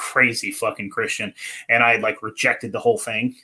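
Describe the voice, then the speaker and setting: Over a silent background in a very clean recording, a man with a West Coast accent speaks at a fairly quick pace in a bright, sharp tone. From northern California. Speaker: podcaster. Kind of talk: casual chat. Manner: animated.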